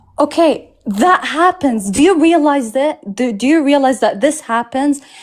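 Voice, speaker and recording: With a non-native accent, a woman speaks at a fairly slow pace and a high pitch. Her tone is animated and her intonation lively. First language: not English. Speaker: debate participant. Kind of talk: heated debate.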